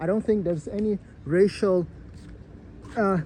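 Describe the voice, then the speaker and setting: The speaker has a non-native accent and a moderate pace. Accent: noticeable foreign. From outside the US. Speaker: YouTuber. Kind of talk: personal vlog commentary. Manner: halting, many fillers and repetitions.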